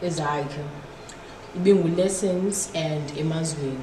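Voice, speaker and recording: There is audible room echo and light background noise as a woman speaks. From South Africa. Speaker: rapper. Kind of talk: casual chat. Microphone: camera far.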